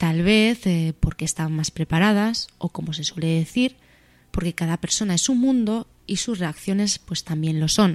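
In a very clean recording with a silent background and a dry, close sound with no echo, a woman speaks in an ordinary speaking voice at a medium pitch with ordinary pitch variation. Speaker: radio show host. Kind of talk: scripted narration.

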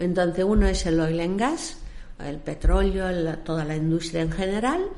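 A woman's fairly low voice with audible room echo. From raised internationally, born in Egypt. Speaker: maritime services company founder. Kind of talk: interview.

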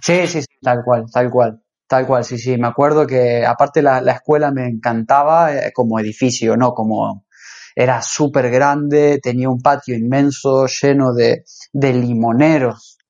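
A man talks fairly slowly at a medium pitch. His intonation stays fairly even. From Argentina, Rosario. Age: 30s. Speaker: cook. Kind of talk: casual interview.

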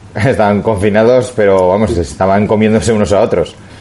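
An ordinary speaking voice at a moderate pace. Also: man. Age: 30s. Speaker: podcast co-host, amateur cyclist. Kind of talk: casual chat.

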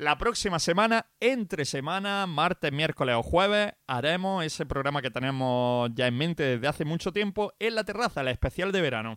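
An animated man's fairly high voice with very wide pitch swings, in a very clean recording with a silent background. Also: moderate pace, dry, close sound with no echo. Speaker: radio DJ. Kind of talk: radio show presenting.

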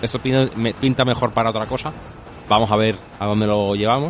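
Noticeable background noise runs under this recording of a man. He talks at a fairly slow pace and a medium pitch. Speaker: video game podcast co-host. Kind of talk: casual chat.

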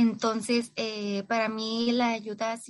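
A woman's fairly high-pitched voice with a northern Mexican accent. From Mexico, Tijuana, Baja California. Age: 20s. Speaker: psychologist sharing recovery story. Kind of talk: personal testimony interview.

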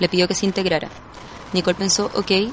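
A woman of medium pitch talks at a fairly quick pace. Her intonation is monotone and flat, with noticeable background noise. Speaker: podcast narrator. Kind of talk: scripted narration.

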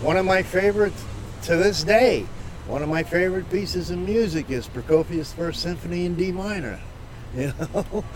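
A man with an American accent and a high pitch, at a moderate pace with ordinary pitch variation, over noticeable background noise. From Massachusetts South Shore. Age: 70s. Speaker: street musician. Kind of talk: casual chat. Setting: outdoors.

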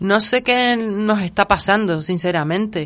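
Speaking at a fairly slow pace, a woman has a plain, everyday voice at a medium pitch. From Gran Canaria. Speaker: cultural association coordinator. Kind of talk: interview.

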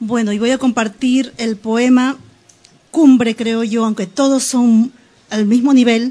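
This woman's voice sits at a fairly high pitch. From Peru, Lima. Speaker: poet and writer. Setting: studio.

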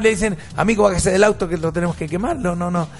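A man speaks in an animated tone at a very fast pace. Noticeable background noise runs underneath. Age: 50s. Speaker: radio host. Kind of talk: talk radio debate.

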